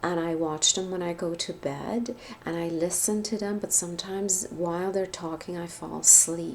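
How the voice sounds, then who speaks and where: Her pitch is fairly low. This woman speaks at a moderate pace with fairly even intonation. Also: hardly any pauses. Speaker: spiritual wellness vlogger. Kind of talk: casual vlog monologue.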